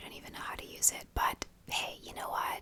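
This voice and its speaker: Whispered speech from a woman, moderate in pace, over noticeable background noise. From Ireland. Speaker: ASMR creator. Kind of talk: casual talk to camera. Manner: whispered, soft-spoken.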